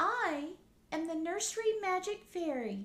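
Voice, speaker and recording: A squeaky put-on character voice from a woman, extremely high in pitch, at a fairly slow pace. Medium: read story. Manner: kind, soft.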